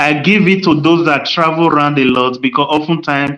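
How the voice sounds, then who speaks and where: A man with a Nigerian accent talks at a moderate pace with ordinary pitch variation. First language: Nigerian language (mother tongue). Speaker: podcast host. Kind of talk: casual chat. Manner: animated.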